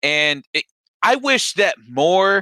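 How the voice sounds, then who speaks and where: A man's raised, projected voice, high in pitch and bright and sharp in tone, with a dry, close sound and no echo. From US Midwest, Cleveland. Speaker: podcast host. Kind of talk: casual interview chat. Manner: halting, many restarts.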